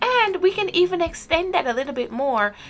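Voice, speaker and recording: A woman with an American accent and very wide pitch swings, music playing behind her. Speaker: vlogger, expat in Japan. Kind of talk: casual vlog talk.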